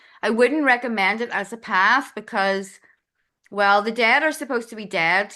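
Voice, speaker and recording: Speaking at a moderate pace, a woman with a Northern Irish accent has a fairly high pitch. Her tone is bright and sharp, and the background is quiet. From Northern Ireland. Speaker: astrologer. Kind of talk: podcast interview. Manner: casual, with frequent fillers.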